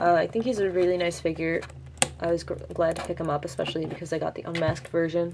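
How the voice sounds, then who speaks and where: Over noticeable background noise, a woman talks at a very fast pace. Her intonation stays fairly even. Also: fairly low pitch for a woman. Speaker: toy reviewer. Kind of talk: product review. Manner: halting, many fillers and restarts; casual.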